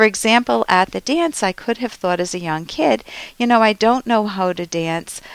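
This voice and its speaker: A woman of medium pitch speaks with lively intonation at a moderate pace, the sound dry and close with no echo. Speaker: advice show host, psychologist. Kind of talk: advice talk answering listener questions. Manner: confident.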